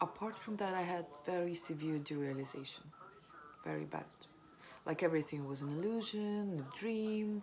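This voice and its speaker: With a strong non-native accent, a woman talks in a fairly low voice with ordinary pitch variation, and room echo can be heard. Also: moderate pace. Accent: non-native accent, self-described as strong. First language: not English. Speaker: vlogger sharing recovery story. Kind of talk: personal testimony. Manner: hesitant, many fillers.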